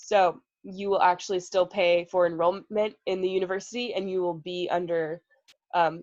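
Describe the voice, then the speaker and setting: A woman's voice at a medium pitch. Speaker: student peer advisor. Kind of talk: online group advising session. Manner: fast.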